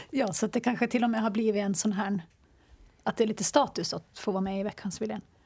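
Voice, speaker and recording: A woman speaks at a very fast pace in a medium-pitched voice. Her voice is somewhat breathy. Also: ordinary pitch variation. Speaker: radio journalist and podcast host. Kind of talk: casual discussion.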